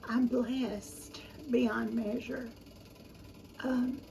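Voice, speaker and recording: The speech goes at a very slow pace. Noticeable background noise and audible room echo are present. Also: woman. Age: 70s. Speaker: home cooking YouTuber. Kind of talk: casual chat. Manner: halting.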